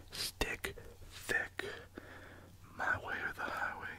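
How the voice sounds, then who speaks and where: Someone whispers at a fairly slow pace amid noticeable background noise. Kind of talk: ASMR whispering. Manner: whispered.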